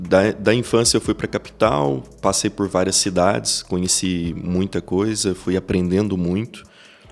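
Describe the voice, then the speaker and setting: A man with a very deep, low pitch and ordinary pitch variation, at a fairly slow pace with hardly any pauses, over music in the background. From Brazil, Goiás interior near Iporá. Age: 30s. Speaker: business executive. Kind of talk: podcast interview.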